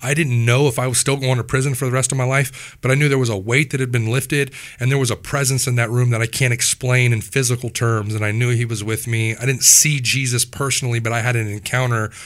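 Very fast talk from a man with a medium pitch and a Midwestern US accent, in a very clean recording with a silent background. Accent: US Midwest. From Wichita, Kansas. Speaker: former prisoner sharing testimony. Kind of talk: testimony. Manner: animated.

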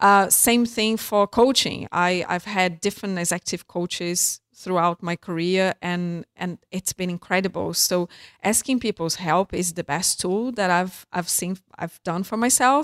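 Recorded with a dry, close sound with no echo and a very clean recording, silent background, the voice, in a Brazilian accent, moves at a fairly slow pace with ordinary pitch variation and hardly any pauses. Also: woman, medium pitch for a woman. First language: Portuguese. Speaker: entrepreneur. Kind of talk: interview. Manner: halting.

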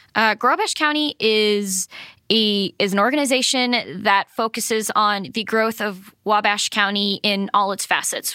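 A woman with an American accent and a bright, sharp tone, in a dry, close recording with no echo. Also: fairly high pitch for a woman, ordinary pitch variation, fairly slow pace. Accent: faint Boston accent, mostly gone. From Massachusetts, Cape Cod. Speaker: economic development professional. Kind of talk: interview.

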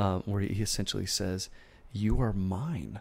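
A normal speaking voice talks at a moderate pace. The recording is very clean, with a silent background. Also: man. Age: 30s. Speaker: pastor and singer-songwriter. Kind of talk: casual chat. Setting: studio.

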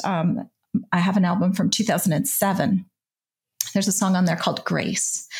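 The woman's voice is somewhat breathy. She talks at a moderate pace and a medium pitch. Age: 50s. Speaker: podcast host and author in recovery. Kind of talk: casual interview.

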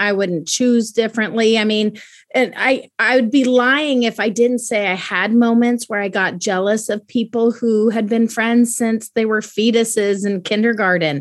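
In a very clean recording with a silent background, a woman speaks at a moderate pace and fairly high pitch in an unremarkable speaking voice. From US military bases, moved often (US states, Germany, Italy). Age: 40s. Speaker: daughter of a military officer, podcast guest. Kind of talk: casual interview.

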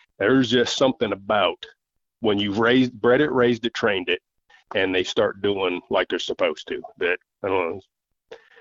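Moderate pacing with long, frequent pauses, in an American accent. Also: man. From southern Michigan. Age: 50s. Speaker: coonhound hunter and army veteran. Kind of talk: casual interview storytelling. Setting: phone call.

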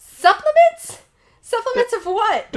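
A put-on character voice, raspy and at an extremely high pitch, moves at a fairly slow pace. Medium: actual play.

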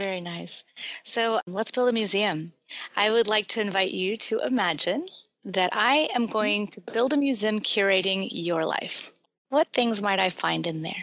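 At a moderate pace and medium pitch, a woman talks with ordinary pitch variation in a plain, everyday voice. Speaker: podcast host. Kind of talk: casual interview chat.

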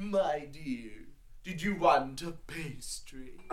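A man talks in a put-on character voice at a fairly high pitch. His pace is very slow. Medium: actual play. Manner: saccharine, calls everyone dear.

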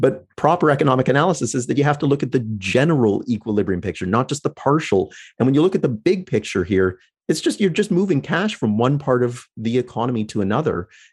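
With a Canadian accent, a man speaks at a medium pitch and a very fast pace, his pitch swinging very widely, against a quiet background. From Canada, London, Ontario. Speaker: economics lecturer. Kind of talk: interview.

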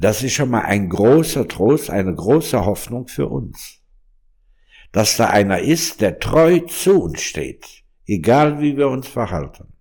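On a very clean recording with a silent background, a man at medium pitch speaks very slowly with vocal fry and very wide pitch swings. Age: 60s. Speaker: monk and pastoral worker. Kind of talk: interview conversation. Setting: room in a monastery.

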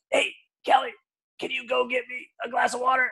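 A put-on character voice comes through strained and fairly high in pitch at a fairly quick pace. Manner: strained, breath held back.

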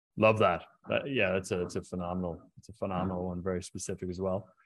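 A man with an Irish accent talks at a very fast pace. The background is quiet. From Ireland, County Mayo. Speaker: podcast host. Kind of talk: interview. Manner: halting.

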